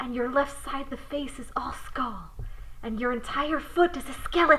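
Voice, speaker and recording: Over noticeable background noise, a woman with a high pitch speaks at a moderate pace and fairly even intonation. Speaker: writer and voice actor. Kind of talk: horror short story narration. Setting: home recording, uneven mic distance.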